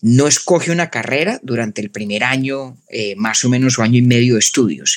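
A man with a Colombian paisa accent, medium pitch, ordinary pitch variation and a fairly quick pace. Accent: Colombian paisa-like, mountain. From Colombia, Bogotá. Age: 30s. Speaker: philosopher and podcaster. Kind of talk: interview conversation.

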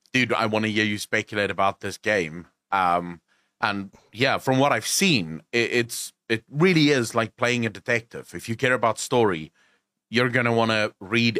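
A man with a South African accent, fairly low in pitch, at a moderate pace, bright and sharp in tone, on a very clean recording with a silent background and a dry, close sound free of echo. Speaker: gaming content creator. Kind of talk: casual chat.

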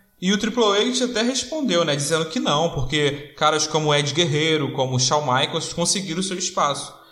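A man talking at a moderate pace with lively intonation and hardly any pauses, amid audible room echo and noticeable background noise. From Rio de Janeiro, Brazil. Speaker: wrestling podcast host. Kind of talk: casual chat.

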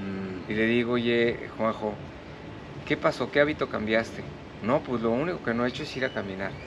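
Against music in the background, a man talks at a fairly quick pace. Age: 60s. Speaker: ice bath and breathwork instructor. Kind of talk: casual interview.

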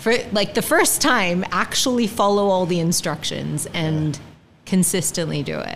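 Here is a woman with an unremarkable speaking voice at medium pitch. She keeps a moderate pace and lively intonation. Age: 40s. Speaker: podcast guest sharing weight-loss journey. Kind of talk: casual interview. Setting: studio with mics and video.

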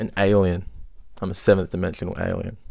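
The recording is very clean, and the background is silent. Speech moves at a moderate pace. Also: man. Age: young. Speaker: podcast host. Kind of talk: casual monologue.

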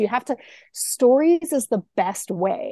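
Recorded with a dry, close sound and no echo, a woman's dark, mellow voice moves through very wide pitch swings. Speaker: app founder. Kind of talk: casual interview.

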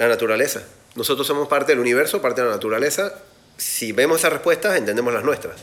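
A man rattles along at a very fast pace, his fairly high pitch carrying lively intonation. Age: 40s. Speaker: podcast host and life coach. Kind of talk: casual live talk.

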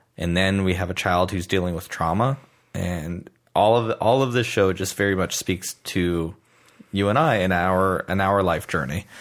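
Ordinary pitch variation in a very deep, low male voice. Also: moderate pace. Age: 40s. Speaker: podcast host. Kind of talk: casual chat.

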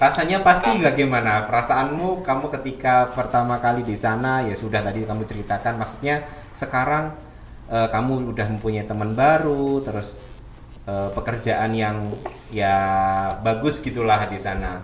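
Audible room echo and noticeable background noise accompany a man as he speaks. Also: medium pitch for a man, ordinary pitch variation, moderate pace. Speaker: school radio host. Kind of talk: casual radio chat.

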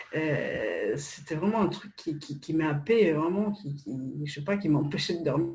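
Over noticeable background noise, a woman talks fairly slowly in a very deep, low pitch with ordinary pitch variation. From Poland. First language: Polish (speaking French). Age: 30s. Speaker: copywriter. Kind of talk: casual interview.

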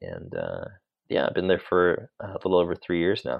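A man speaks with an American accent. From California, Sacramento. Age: 30s. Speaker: motion designer. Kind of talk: interview.

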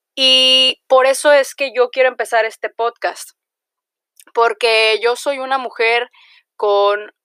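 A woman with a Mexican accent, a bright, sharp tone and fairly high pitch, ordinary pitch variation and a very slow pace, in a very clean recording with a silent background and a dry, close sound with no echo. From Mexico, Jalisco. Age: 20s. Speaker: podcaster. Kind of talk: casual monologue.

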